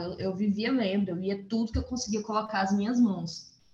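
A woman speaks at a moderate pace. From Brazil, Goiás (Formosa). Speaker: novelist and journalist. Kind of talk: interview.

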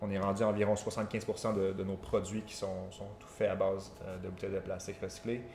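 A man talks with a fairly low pitch and monotone, flat intonation. His loudness swings widely. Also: moderate pace. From Quebec. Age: 20s. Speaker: entrepreneur and former golfer. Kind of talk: casual interview.

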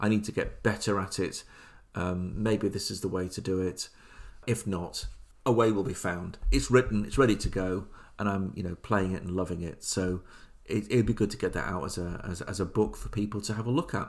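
On a very clean recording with a silent background, a man speaks at a fairly low pitch with vocal fry and fairly even intonation. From England, Leicester area. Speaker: podcast host, tabletop gamer. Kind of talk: solo podcast monologue. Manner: halting.

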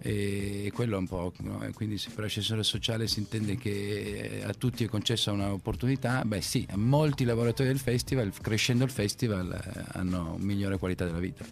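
A man with a fairly low voice and ordinary pitch variation talks at a moderate speed. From Turin, Italy. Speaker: entrepreneur, festival founder. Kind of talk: interview. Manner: halting.

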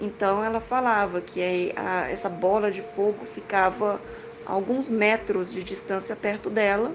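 A woman at a medium pitch speaks at a fairly slow pace with ordinary pitch variation amid noticeable background noise. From Goiás, Brazil. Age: 30s. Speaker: listener telling own experience. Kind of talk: recorded personal account. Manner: halting.

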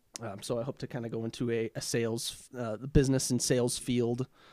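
A man with a Minnesota accent talks at a fairly quick pace in a medium pitch, with monotone, flat intonation. The recording is very clean and dry, close with no echo, over a silent background. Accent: Upper Midwest (Minnesota) American. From Minnesota, Twin Cities area. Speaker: recent college graduate. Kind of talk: casual chat.

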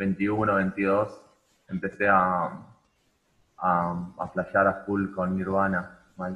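A man with a Rioplatense accent speaks very slowly in a very deep, low, monotone, flat voice, leaving long, frequent pauses. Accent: Argentine Spanish (rioplatense). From Argentina. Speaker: rock musician. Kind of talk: casual chat. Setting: video call.

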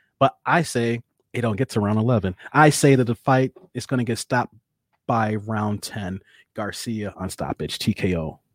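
The speaker sounds animated, talking at a moderate pace with ordinary pitch variation. The recording is very clean, with a silent background and a dry, close sound that has no echo. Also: man, medium pitch for a man. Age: 40s. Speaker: boxing podcast host. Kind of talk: casual chat.

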